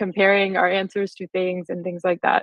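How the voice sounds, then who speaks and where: Speaking with an American accent, a woman uses a medium pitch. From US, California. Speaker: software engineer. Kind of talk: conference talk.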